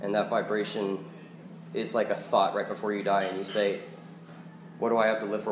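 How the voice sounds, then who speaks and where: A man with a fairly low pitch talks at a fairly quick pace yet leaves long, frequent pauses, his intonation fairly even. Noticeable background noise and audible room echo surround him. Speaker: open mic reader. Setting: cafe with audience.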